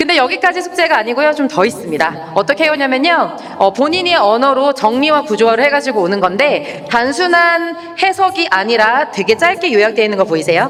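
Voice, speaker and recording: Animated and fairly quick, a woman talks in a high pitch with very wide pitch swings and very even loudness over noticeable background noise. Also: hardly any pauses. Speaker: English academy director presenting curriculum. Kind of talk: information session presentation. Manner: very fast.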